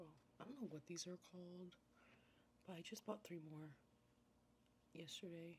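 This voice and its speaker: A soft-spoken woman's fairly low, somewhat breathy voice, relaxed in tone, at a moderate pace. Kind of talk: ASMR get-ready-with-me makeup video, casual talk to camera. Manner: soft-spoken, relaxed.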